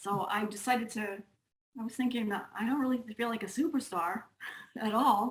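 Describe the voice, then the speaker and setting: A somewhat breathy woman with a Long Island accent, fairly high in pitch, at a moderate pace. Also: ordinary pitch variation. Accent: Long Island New York. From US Northeast, Long Island, New York. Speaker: music teacher and author. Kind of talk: casual chat.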